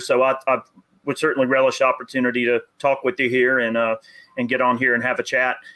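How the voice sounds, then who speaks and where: A man with a Southern US accent and a fairly high pitch. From US South. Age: 30s. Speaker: gun YouTuber and army veteran. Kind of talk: casual chat.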